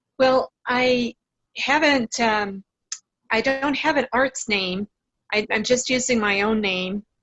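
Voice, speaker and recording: Delivery is very slow, with long, frequent pauses. Loudness stays very even and pitch varies in an ordinary way. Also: woman, high pitch for a woman. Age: 60s. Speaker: amateur painter. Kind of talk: casual interview. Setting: remote video call. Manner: hesitant, many fillers.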